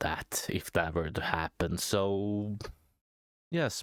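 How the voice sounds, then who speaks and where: The sound is dry and close, with no echo. A man speaks at a very slow pace with fairly even intonation. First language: not English. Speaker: small YouTube commentator. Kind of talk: casual vlog monologue. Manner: hesitant, many fillers.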